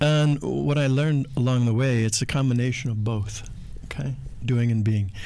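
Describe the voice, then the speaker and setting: At a moderate pace, a man uses an ordinary speaking voice of medium pitch with ordinary pitch variation. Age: 60s. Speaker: spiritual speaker, podcast co-host. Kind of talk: casual chat. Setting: in Bali.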